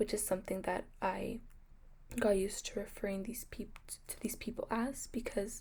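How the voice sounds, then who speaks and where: Somewhat breathy, a woman speaks at a moderate pace in a monotone, flat intonation. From US, Mexican American family. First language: Spanish. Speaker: nursing student. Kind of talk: class presentation. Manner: hesitant, many fillers.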